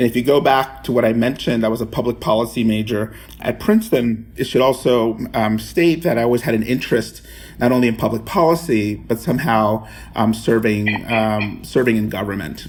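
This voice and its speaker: Noticeable background noise runs behind a man's voice. He talks at a fairly quick pace and a medium pitch. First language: Spanish. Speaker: pension fund chief investment officer. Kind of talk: interview. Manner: halting, many fillers.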